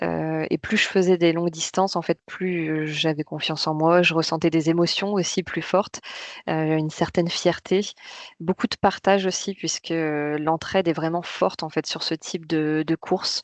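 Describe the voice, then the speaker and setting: A woman with a fairly low pitch speaks in a monotone, flat way at a moderate pace, the sound dry and close with no echo over a quiet background. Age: 30s. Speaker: amateur trail runner. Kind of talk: interview. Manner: hesitant, many fillers.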